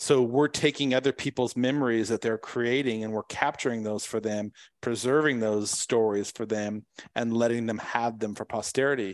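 A man with an American accent and an unremarkable speaking voice, medium pitch, fairly even intonation, moderate pace, quiet background. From San Diego, California. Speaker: photographer and business consultant. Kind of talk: interview.

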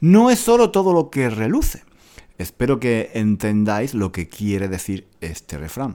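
At a fairly slow pace, a man speaks in a dark, mellow tone. His pitch swings very widely. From Granada, Andalusia, Spain. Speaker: Spanish teacher podcaster. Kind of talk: casual monologue for language learners. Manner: many repetitions and fillers.

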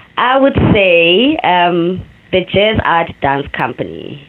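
A woman with a medium pitch speaks at a very slow pace, her pitch swinging very widely over noticeable background noise. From South Africa, Cape Town township. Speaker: dancer and choreographer. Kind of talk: interview. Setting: remote call from New York.

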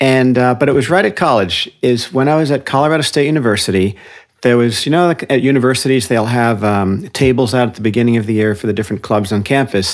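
Very fast speech from a man with an American accent, medium pitch and ordinary pitch variation. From New Jersey, New York City suburbs. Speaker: author. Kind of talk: interview.

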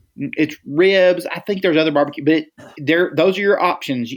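With an American accent and a normal speaking voice, a man with a fairly high pitch speaks at a moderate pace with ordinary pitch variation. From Texas Gulf Coast. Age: 40s. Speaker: ministry leader and guest. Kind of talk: casual podcast interview.

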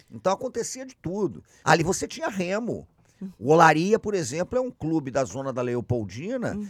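A man with a Carioca accent speaks at a moderate pace and a fairly high pitch. His pitch swings very widely, his loudness varies a lot, and the sound is dry and close with no echo. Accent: carioca Brazilian Portuguese. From Rio de Janeiro, Brazil. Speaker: podcast co-host, historian. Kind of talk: casual chat.

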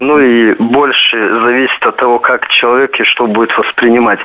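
A man speaks at a medium pitch. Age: 20s. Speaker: caller. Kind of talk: phone-in call. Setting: phone call.

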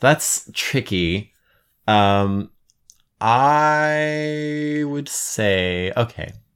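A medium-pitched man with an American accent, lively intonation and a very slow pace, in a very clean recording with a silent background. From Colorado. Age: 20s. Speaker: podcast guest. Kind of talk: casual chat.

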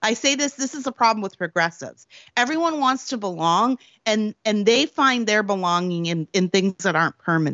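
A woman speaks at a fairly quick pace in a fairly high pitch, her voice swinging very widely up and down. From Canada, Prince Edward Island. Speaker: political commentator and author. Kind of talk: interview.

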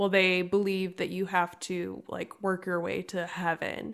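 At a fairly slow pace, a woman with a medium pitch talks in a normal speaking voice, captured in a very clean recording with a silent background. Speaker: podcast co-host. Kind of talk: interview conversation.

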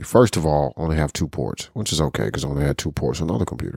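The voice shows vocal fry on a very clean recording with a silent background. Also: man. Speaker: podcast co-host. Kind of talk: casual chat about tech. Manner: profane, casual.

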